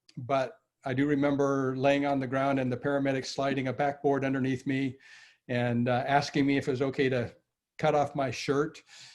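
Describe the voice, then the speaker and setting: A man speaks at a medium pitch. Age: 60s. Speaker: artist and former electrical engineer. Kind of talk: interview. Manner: halting, many fillers.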